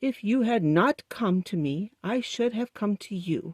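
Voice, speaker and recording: A put-on character voice with fairly high pitch delivers the lines at a fairly slow pace. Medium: read story. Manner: pompous.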